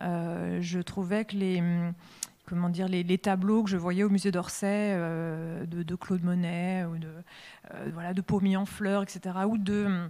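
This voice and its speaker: A woman speaks in a fairly low, dark and mellow voice at a fairly slow pace. Her intonation is monotone and flat. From western France, Deux-Sèvres countryside. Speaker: comics artist and illustrator. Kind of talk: public interview at a literary festival. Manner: halting, many hesitations.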